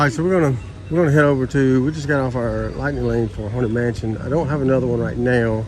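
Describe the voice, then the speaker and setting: A man speaks very fast at a medium pitch with a Southern US accent and ordinary pitch variation. Audible room echo and noticeable background noise are present. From US South. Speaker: travel vlogger. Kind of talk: casual vlog narration. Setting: outdoors at theme park. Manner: casual, many fillers.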